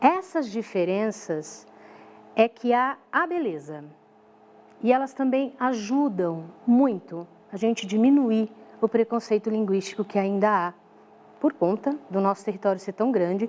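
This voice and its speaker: A woman speaks with a São Paulo accent at a fairly slow pace, her intonation lively. She takes long, frequent pauses. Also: fairly high pitch for a woman. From São Paulo, Brazil. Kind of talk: teacherly, explanatory.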